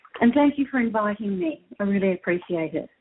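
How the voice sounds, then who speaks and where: Lively in intonation, a woman with an Australian accent speaks at a fairly high pitch and a fairly quick pace. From Australia, Melbourne. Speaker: spiritual guest. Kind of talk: interview. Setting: internet radio show.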